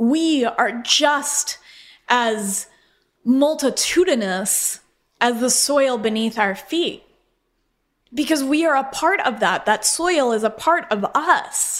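A woman with an American accent, high-pitched, at a very slow pace, with lively intonation and very even loudness, on a very clean recording with a silent background. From Colorado, US. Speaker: podcast host and butcher shop owner. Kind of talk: solo personal storytelling monologue.

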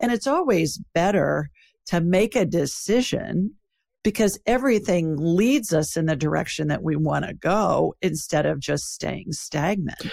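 At a fairly slow pace, a woman with a fairly low pitch talks with vocal fry and lively intonation. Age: 60s. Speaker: psychic and podcast host. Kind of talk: interview.

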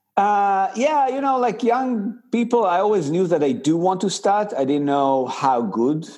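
A man's high voice with an Israeli accent, very wide pitch swings, very even loudness and hardly any pauses. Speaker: tech company founder and CEO. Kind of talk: interview. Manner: halting.

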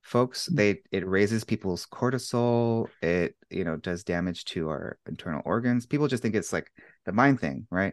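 In a plain, everyday voice with an American accent, the speaker moves at a moderate pace with lively intonation, the sound dry and close with no echo. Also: man, fairly low pitch for a man. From United States. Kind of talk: casual interview chat.

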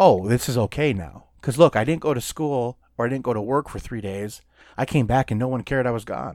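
In a very clean recording with a silent background, a man with a plain, everyday voice speaks at medium pitch in an American accent, his pitch varying in an ordinary way. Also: fairly quick pace. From Minnesota. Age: 40s. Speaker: podcast co-host. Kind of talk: casual chat.

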